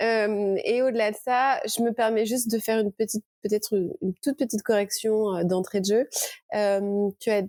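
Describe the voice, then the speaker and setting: Dry and close with no echo, the recording holds a woman's fairly high voice. She moves at a fairly quick pace. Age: 30s. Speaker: author, recovered anorexia patient. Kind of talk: testimony. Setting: podcast. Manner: halting.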